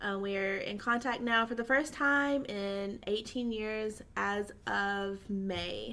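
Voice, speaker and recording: Speaking with a Southern US accent, a woman has a medium-pitched, bright, sharp voice. Her pace is very slow, with hardly any pauses and fairly even intonation. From US South, Georgia. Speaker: social media influencer. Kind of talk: casual interview.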